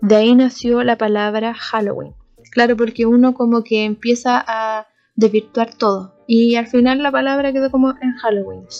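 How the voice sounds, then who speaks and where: In a Chilean accent, a woman with a fairly high pitch speaks at a moderate pace in a monotone, flat intonation. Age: 20s. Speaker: podcast host. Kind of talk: casual solo podcast chat.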